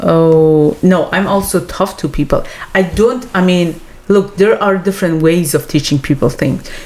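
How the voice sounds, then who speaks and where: A woman with a non-native accent speaks at a moderate pace and fairly low pitch. Her pitch variation is ordinary and her loudness very even. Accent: foreign. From Iran. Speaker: podcast co-host. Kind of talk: casual chat.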